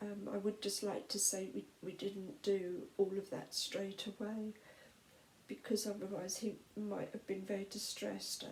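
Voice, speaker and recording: Soft-spoken, a woman talks at medium pitch with a British accent. Her pace is fairly slow. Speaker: vlogger. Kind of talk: personal testimony. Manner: halting.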